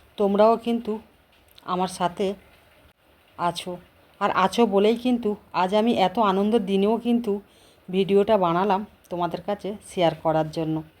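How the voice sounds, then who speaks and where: Medium-pitched female speech with fairly even intonation on a very clean recording with a silent background. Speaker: lifestyle vlogger. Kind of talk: casual vlog narration. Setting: office event with stage.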